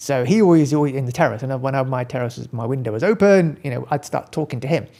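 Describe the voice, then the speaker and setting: A man with a British accent speaks at a fairly quick pace in a medium pitch, his dark, mellow tone captured on a very clean recording with a silent background. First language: Gujarati. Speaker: accountant and practice owner. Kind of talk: casual interview chat.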